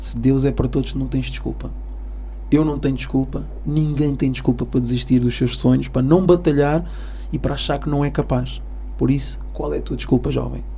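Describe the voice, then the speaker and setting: A man talks at a fairly quick pace. Room echo is audible, along with noticeable background noise. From Almada, Portugal (Cape Verdean parents). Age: 40s. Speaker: airline pilot. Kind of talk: interview testimony. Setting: radio studio.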